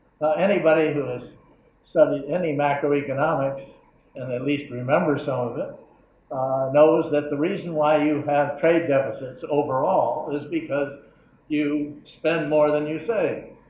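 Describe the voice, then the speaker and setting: Moderate-paced speech with an American accent, fairly even intonation, noticeable background noise and audible room echo. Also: man, fairly high pitch for a man. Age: 80s+. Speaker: economics professor. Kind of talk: lecture. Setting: conference room with audience. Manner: halting, many fillers.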